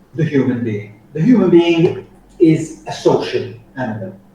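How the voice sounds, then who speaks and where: Amid noticeable background noise and audible room echo, a man speaks very slowly in a high pitch with very wide pitch swings. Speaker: soft skills trainer. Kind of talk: training lecture.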